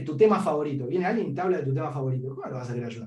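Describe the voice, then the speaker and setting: This man speaks with an Argentine accent and a fairly high pitch. His intonation is lively. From Argentina, Patagonia (San Martín de los Andes). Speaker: data analyst, podcast interviewee. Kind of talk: interview conversation. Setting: podcast interview.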